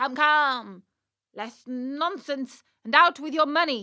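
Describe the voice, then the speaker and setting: In a put-on character voice, a woman speaks high and fairly slowly with ordinary pitch variation. The recording is very clean, with a silent background. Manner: threatening.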